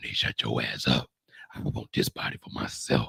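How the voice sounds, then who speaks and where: A man performs a raspy put-on character voice at a moderate pace. His loudness swings widely, and the sound is dry and close with no echo. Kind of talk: sassy. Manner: serious, commanding.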